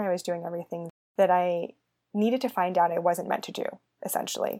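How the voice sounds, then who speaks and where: A woman with a Californian accent speaks with ordinary pitch variation. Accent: Californian American. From US West Coast, San Francisco Bay Area. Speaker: podcast host and human design coach. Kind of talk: solo podcast monologue, personal story. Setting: alone at a microphone.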